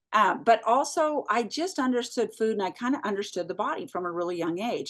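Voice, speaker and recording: A woman with an unremarkable speaking voice, lively intonation and a fairly quick pace, over a quiet background. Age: 60s. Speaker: food company founder. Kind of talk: interview.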